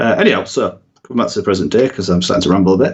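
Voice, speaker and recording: Very wide pitch swings run through this man's speech in a northern English accent. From northern England. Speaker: YouTube content creator. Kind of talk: podcast interview.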